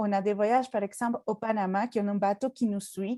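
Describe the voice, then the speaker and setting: A woman speaks with a strong Mexican accent in a dark, mellow tone at a moderate pace. Her pitch variation is ordinary, and the sound is dry and close with no echo. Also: very clean recording, silent background. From Mexico. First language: Spanish (speaking French). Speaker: travel agency staff and kayak guide. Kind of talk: presentation talk. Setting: conference with audience. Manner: halting, many hesitations.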